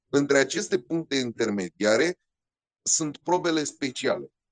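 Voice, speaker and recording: Speaking at a fairly slow pace, a man uses an animated tone and lively intonation. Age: 40s. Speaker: rally co-driver and motorsport commentator. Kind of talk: interview storytelling.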